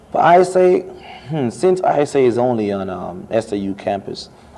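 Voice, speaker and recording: A man's speech shows ordinary pitch variation, with noticeable background noise behind it. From Jamaica. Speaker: international student, student club officer. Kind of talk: interview. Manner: casual, conversational.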